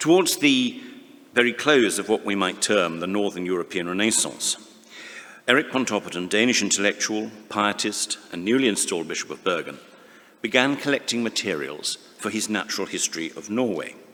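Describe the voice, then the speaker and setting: Over noticeable background noise, a man with a fairly low pitch talks at a fairly quick pace with lively intonation. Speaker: conference speaker. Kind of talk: academic conference talk. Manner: halting.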